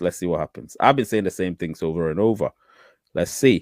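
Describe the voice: A man's low voice at a moderate pace. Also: dry, close sound with no echo.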